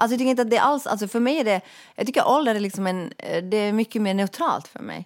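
Her pace is very fast and her pitch fairly high, with ordinary variation. The woman's recording sounds dry and close, with no echo. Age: 40s. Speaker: podcast co-host. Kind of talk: casual chat.

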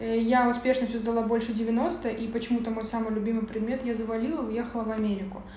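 A woman with a fairly high pitch at a fairly quick pace, amid noticeable background noise and audible room echo. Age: 20s. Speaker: entrepreneur. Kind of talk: interview.

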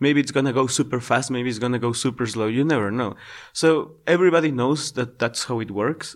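A man with a Spanish accent talks at a fairly quick pace in a medium-pitched voice with ordinary pitch variation. The recording is very clean, with a silent background. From Ecuador, Quito. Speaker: volunteer teacher. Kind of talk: interview. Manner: hesitant, many fillers.

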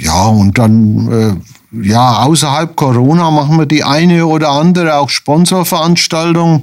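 With an unremarkable speaking voice, a man at a fairly high pitch speaks at a fairly slow pace with lively intonation, very even loudness, and hardly any pauses. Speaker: retired hospital administrator, charity vice chairman. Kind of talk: radio interview.

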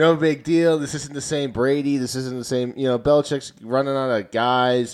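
An unremarkable speaking voice keeps a moderate pace with fairly even intonation and hardly any pauses. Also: man, medium pitch for a man. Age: 20s. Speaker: sports podcast host. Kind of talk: casual chat.

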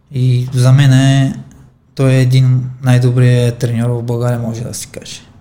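A man at a medium pitch and fairly slow pace, monotone and flat in intonation, with big swings in loudness and audible room echo. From Armenia. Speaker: professional boxer. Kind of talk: interview.

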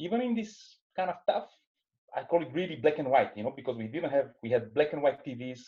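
A man with a Bulgarian accent, fairly quick and with lively intonation. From Bulgaria, Sofia. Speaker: business executive. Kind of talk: interview. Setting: video call.

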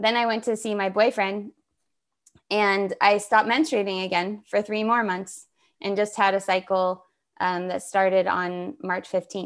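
A woman speaks at a medium pitch with fairly even intonation and an American accent, in an unremarkable speaking voice. The recording is very clean, with a silent background. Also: fairly slow pace. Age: 40s. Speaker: somatic practitioner and author. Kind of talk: interview conversation.

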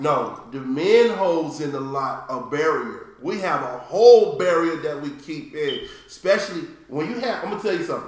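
A man speaks in a high voice with lively intonation at a moderate pace. There is noticeable background noise. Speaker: podcast host. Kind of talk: casual chat.

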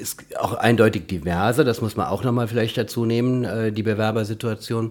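Over noticeable background noise, a man at medium pitch talks at a moderate pace with fairly even intonation and hardly any pauses. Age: 50s. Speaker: physiotherapist and education campus director. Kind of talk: interview.

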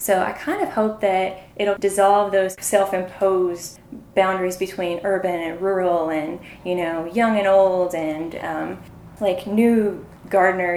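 A woman speaks at medium pitch in a monotone, flat intonation. Her pace is fairly slow, and audible room echo surrounds her. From Eastern Kentucky. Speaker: sociology PhD student and documentary maker. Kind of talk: interview. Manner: hesitant, many fillers.

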